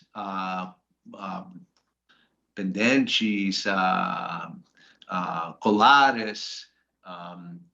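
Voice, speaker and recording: A man's voice with a bright, sharp tone. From US, Washington DC. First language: English (speaking Portuguese). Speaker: finance professional. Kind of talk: interview. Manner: halting, many hesitations.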